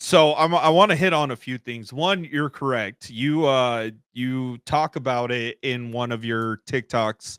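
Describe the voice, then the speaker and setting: A man with an ordinary speaking voice, medium pitch and ordinary pitch variation, at a fairly slow pace with hardly any pauses, in a very clean, dry, close recording with no echo and a silent background. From United States. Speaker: podcast host. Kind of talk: casual interview chat.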